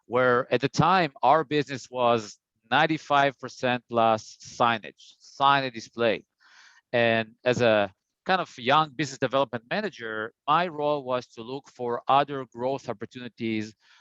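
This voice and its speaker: A man with an Israeli accent speaks at a medium pitch in a bright, sharp tone. The sound is dry and close, with no echo. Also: ordinary pitch variation, moderate pace, quiet background. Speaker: printing industry business development presenter. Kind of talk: business webinar presentation. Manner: hesitant, many fillers and repeats.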